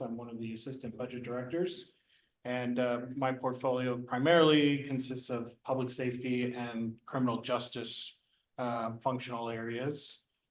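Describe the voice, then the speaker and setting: A man with an American accent, medium pitch, flat monotone intonation and a moderate pace, with audible room echo. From California. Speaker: board candidate. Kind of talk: candidate self-introduction at public meeting. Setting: public meeting.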